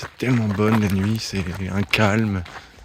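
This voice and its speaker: A man at fairly low pitch, with noticeable background noise. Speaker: travel vlogger, hiker on pilgrimage. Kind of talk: vlog commentary. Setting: outdoors, arriving in village at night.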